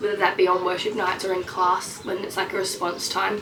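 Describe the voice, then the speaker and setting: Speaking at a fairly quick pace with an Australian accent, a woman at medium pitch keeps a monotone, flat intonation over noticeable background noise and audible room echo. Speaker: missionary trainee vlogger. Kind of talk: casual vlog update. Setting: outdoors in a treehouse. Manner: filler-heavy, chatty.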